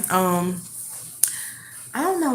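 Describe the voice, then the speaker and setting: A woman talks at a moderate pace. Her voice has audible room echo. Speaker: tarot reader. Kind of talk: tarot reading. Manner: halting.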